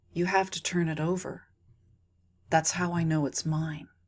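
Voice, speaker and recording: A woman's put-on character voice, fairly low in pitch, monotone and flat, at a moderate pace. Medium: read story. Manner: calm, commanding, few words.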